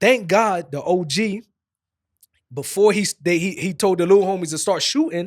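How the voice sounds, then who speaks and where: On a very clean recording with a silent background, a man with an East Coast US accent speaks at a high pitch and a moderate pace. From New Jersey. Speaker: podcast host, former rapper. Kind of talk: casual chat.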